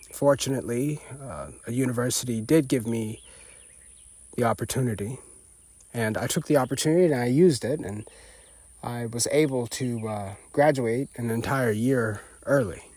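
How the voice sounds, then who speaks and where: At a moderate pace and with long, frequent pauses, a man with an American accent speaks at medium pitch, his pitch varying in an ordinary way. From Appalachia, USA. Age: 20s. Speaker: chemical engineer and business owner. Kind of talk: personal monologue to camera. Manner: reflective, hesitant.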